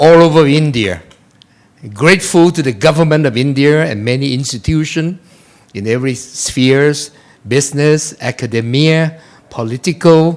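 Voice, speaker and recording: A man's fairly high voice, a plain, everyday voice, at a moderate pace with ordinary pitch variation. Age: 60s. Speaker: chief guest speaker, former politician. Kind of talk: speech.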